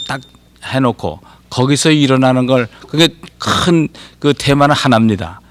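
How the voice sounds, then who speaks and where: Here a man speaks with an unremarkable speaking voice at medium pitch. His intonation is fairly even and his pace moderate. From Korea (Anseong, Gyeonggi). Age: 60s. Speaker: poet and professor. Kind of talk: TV talk show interview.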